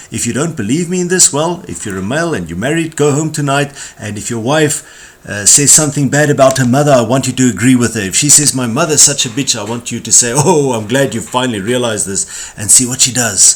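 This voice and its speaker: A man with a South African accent talks at a fairly quick pace and medium pitch, with hardly any pauses. His intonation is lively, and there is noticeable background noise. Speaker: corporate trainer. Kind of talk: tutorial.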